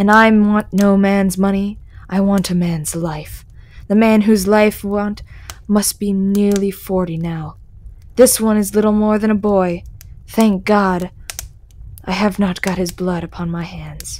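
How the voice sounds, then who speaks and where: Putting on a gruff, menacing character voice, the speaker goes at a fairly slow pace in a flat monotone with long, frequent pauses over light background noise. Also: woman, medium pitch for a woman. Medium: read story.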